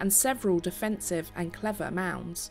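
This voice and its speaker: A woman talks at a moderate pace while light noise sits in the background. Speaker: tour narrator. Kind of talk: documentary narration.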